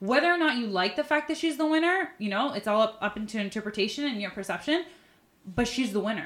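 Very fast and with lively intonation, a woman speaks. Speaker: pageant veteran. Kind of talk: casual chat.

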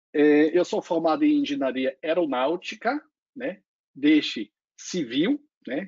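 Talking fairly slowly, this speaker has a non-native accent. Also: man. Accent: foreign accent in Portuguese. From Lake Constance region, German-speaking Europe. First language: German (speaking Portuguese). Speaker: solar company executive. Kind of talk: panel discussion.

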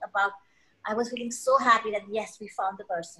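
Very fast in pace, a woman's voice comes across with a bright, sharp tone. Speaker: HR leader. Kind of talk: casual chat.

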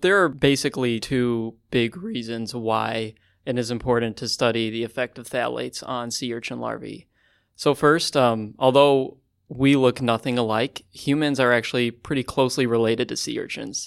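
On a very clean recording with a silent background, a man with an American accent and medium pitch speaks in a normal speaking voice at a moderate pace with fairly even intonation. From Chicago, US Midwest. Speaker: undergraduate researcher. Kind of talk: casual interview. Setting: studio around a table.

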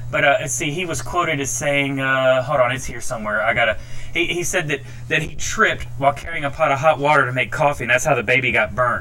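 A man's furious tone at a medium pitch with ordinary pitch variation, over noticeable background noise. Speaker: podcast ranter. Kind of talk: angry rant. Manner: furious, profane, loud.

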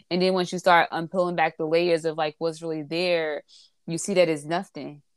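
A woman's fairly low voice is captured in a very clean recording with a silent background. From Newark, New Jersey. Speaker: podcast guest sharing addiction experience. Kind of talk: casual chat.

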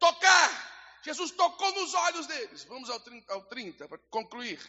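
The man's tone sounds animated. Lively intonation runs through his speech. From Brazil. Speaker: pastor. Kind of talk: sermon; scripture reading. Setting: church.

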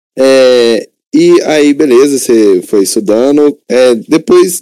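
This man's voice has a dark, mellow tone. The recording is dry and close, without echo. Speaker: student podcast host. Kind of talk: interview.

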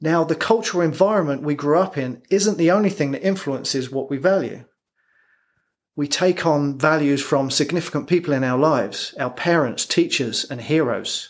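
Speaking with an English accent, a man uses a fairly high pitch and ordinary pitch variation at a moderate pace. The recording is very clean, with a silent background. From England. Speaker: performance coach. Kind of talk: scripted narration.

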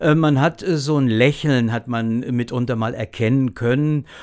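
A plain, everyday voice with fairly even intonation comes through in a very clean recording with a silent background. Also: man. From Lower Franconia, Germany (Großwallstadt). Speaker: actor. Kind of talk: casual interview.

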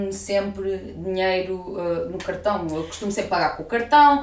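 Noticeable background noise and audible room echo surround a woman who speaks fairly slowly. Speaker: podcast host. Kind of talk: casual chat.

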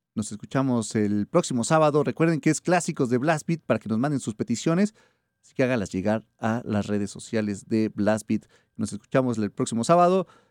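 Using an ordinary speaking voice, a man talks at a moderate pace with lively intonation, the sound dry and close with no echo. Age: 30s. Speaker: radio host. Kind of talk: radio show.

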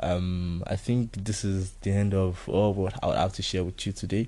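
Speaking with a Nigerian accent, a man uses a very deep, low pitch and a dark, mellow tone, his intonation monotone and flat. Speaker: podcast host. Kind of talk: casual solo podcast monologue. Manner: casual, relaxed.

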